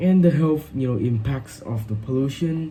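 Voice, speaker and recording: Speaking in a Vietnamese accent at a moderate pace, a man uses lively intonation amid audible room echo. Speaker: English learner. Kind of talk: speaking exam practice. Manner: halting, many fillers.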